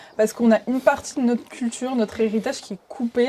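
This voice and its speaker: This woman talks at a fairly quick pace and a fairly high pitch. Her tone is dark and mellow, with fairly even intonation. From France, Iraqi Chaldean family. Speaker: podcast guest. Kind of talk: casual discussion. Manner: hesitant, many fillers.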